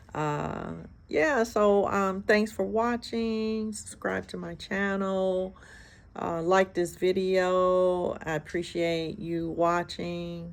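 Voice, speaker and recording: A woman with an American accent speaks at a very slow pace on a very clean recording with a silent background. Her pitch is medium, with ordinary pitch variation. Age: 60s. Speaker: hairstylist vlogger. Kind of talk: casual vlog monologue. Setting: outdoors on a porch.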